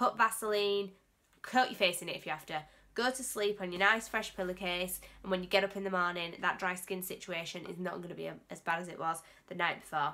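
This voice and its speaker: A woman with an English accent and a medium pitch speaks with big swings in loudness. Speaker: beauty vlogger. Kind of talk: casual vlog tutorial. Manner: halting, stumbling over words.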